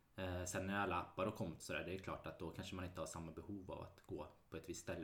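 At a very fast pace, a man speaks in a very deep, low voice with monotone, flat intonation. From Sweden, Mariestad (Västergötland). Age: 30s. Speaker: real estate agent. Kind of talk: casual chat.

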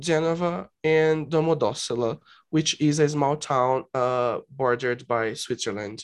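A man with a Brazilian accent talks at a fairly slow pace in a fairly high pitch. His loudness stays very even, and his pitch varies in an ordinary way. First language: Portuguese. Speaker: podcast host. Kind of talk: casual chat. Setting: video call. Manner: halting.

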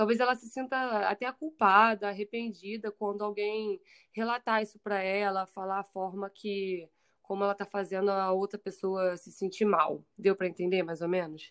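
A woman's medium-pitched, ordinary speaking voice at a moderate pace, with fairly even intonation and big swings in loudness, dry and close with no echo over a quiet background. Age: 20s. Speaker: psychologist. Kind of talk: casual interview.

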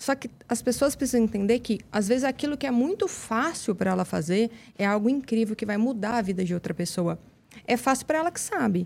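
A woman talks at a fairly quick pace. Her fairly high pitch has lively intonation. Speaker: method specialist, education entrepreneur. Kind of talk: interview conversation. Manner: fast.

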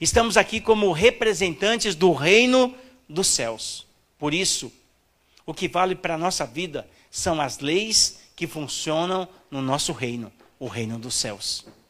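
Over a very clean recording with a silent background, a man speaks at a fairly slow pace in a high pitch, with very wide pitch swings. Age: 50s. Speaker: pastor. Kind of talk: sermon.

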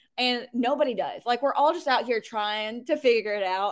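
With an unremarkable speaking voice, a woman talks at a moderate pace with lively intonation. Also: very clean recording, silent background. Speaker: web designer and business owner. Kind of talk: casual interview.

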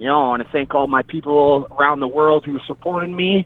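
A man with a fairly high voice is heard against noticeable background noise. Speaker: boxer. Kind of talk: casual chat.

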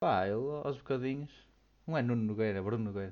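A man speaks at a fairly quick pace with lively intonation. He has an ordinary speaking voice. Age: 20s. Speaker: podcast co-host. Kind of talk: casual chat.

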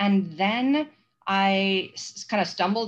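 Against a quiet background, a woman of medium pitch speaks with ordinary pitch variation. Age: 50s. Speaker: vintage cookbook page creator. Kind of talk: casual interview chat. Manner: halting, with fillers.

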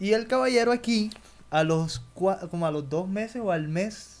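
The pitch variation is ordinary. The pace is moderate. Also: man. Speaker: podcast host. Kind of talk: casual chat.

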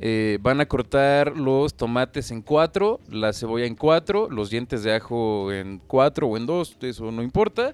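A man talks at a fairly slow pace in a normal speaking voice of medium pitch, with hardly any pauses. The sound is dry and close, with no echo. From Mexico. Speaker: podcast co-host. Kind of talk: casual chat.

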